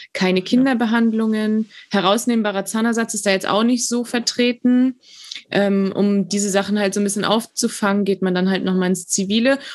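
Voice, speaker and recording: A woman speaks in an ordinary speaking voice at a moderate pace with fairly even intonation. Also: medium pitch for a woman. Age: 20s. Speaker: dental student, trained dental assistant. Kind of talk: interview.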